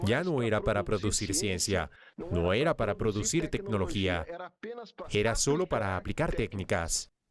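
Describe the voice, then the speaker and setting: On a very clean recording with a silent background, a man with a fairly low voice speaks at a moderate pace, swinging very widely in pitch while keeping his loudness very even. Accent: Portuguese. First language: Portuguese (speaking Spanish). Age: 70s. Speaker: engineer, business association leader. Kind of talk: interview.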